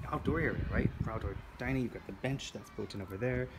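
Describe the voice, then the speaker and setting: Noticeable background noise sits behind the voice. A man talks at a fairly quick pace. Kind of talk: property tour commentary. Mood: enthusiastic. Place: home room. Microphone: phone near.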